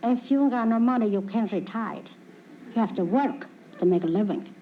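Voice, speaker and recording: Amid audible room echo, a woman speaks at a fairly quick pace and fairly high pitch, with ordinary pitch variation and very even loudness. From Italy, Calabria. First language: Italian. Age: 70s. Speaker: retired midwife, quiz show contestant. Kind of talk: game show interview. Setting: stage with audience. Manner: halting broken English.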